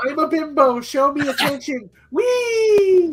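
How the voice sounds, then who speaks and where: A put-on character voice, pitched high and delivered at a fairly slow pace. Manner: ditzy, playful, mocking.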